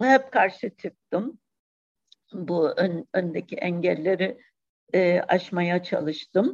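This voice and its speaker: A woman's very slow speech with lively intonation. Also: medium pitch for a woman. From Cyprus. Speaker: poet. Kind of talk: interview.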